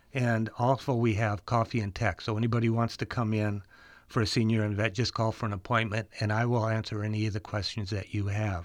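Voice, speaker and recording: A man with an Upper Midwest accent, medium pitch, monotone and flat intonation, a moderate pace, and a quiet background. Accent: Upper Midwest (Minnesota). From small-town Minnesota. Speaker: computer repair shop owner. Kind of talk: casual radio chat.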